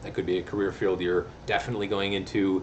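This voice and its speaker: A man at a fairly low pitch and fairly quick pace, with noticeable background noise and audible room echo. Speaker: college English teacher. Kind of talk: video lecture. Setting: recorded video lesson. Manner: fast; casual.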